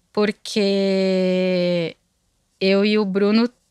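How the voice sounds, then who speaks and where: Over a quiet background, a woman speaks in a dry sound with no echo. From Santa Catarina, Brazil (Blumenau region); Santa Catarina, Brazil. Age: 30s. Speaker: music marketing agency co-founder; interview guest. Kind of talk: interview. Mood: reflective, calm. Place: studio. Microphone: studio mic.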